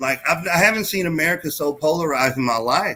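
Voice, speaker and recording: With a Texas accent, a man speaks at a moderate pace in a fairly high pitch with lively intonation. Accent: Texas twang. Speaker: podcast guest. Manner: rambling, many filler likes.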